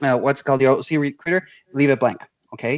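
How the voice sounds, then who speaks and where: The sound is dry and close with no echo as a man with a fairly high pitch talks against a quiet background. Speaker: recruiter. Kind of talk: webinar presentation. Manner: fast; halting, many fillers.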